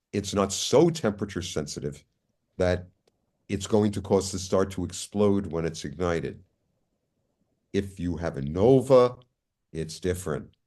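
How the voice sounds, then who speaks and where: Against a quiet background, a man speaks at a fairly slow pace with a very deep, low pitch and a dark, mellow tone. His pitch varies in an ordinary way, and he takes long, frequent pauses. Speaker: astrophysicist lecturer. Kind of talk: lecture. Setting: video call. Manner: deliberately slow.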